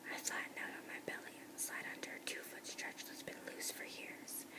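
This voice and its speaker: There is noticeable background noise. Through it, a woman whispers at a moderate pace. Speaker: ASMR whisper reader. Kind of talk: whispered audiobook-style reading of a novel. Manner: whispered, soft.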